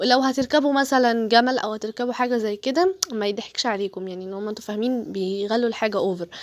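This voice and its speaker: With an Egyptian accent, a woman speaks at a fairly high pitch with ordinary pitch variation. She keeps a fairly quick pace with hardly any pauses, over noticeable background noise. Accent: Egyptian Arabic, clearly audible. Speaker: travel vlogger. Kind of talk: casual travel vlog narration. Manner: chatty, hesitant fillers.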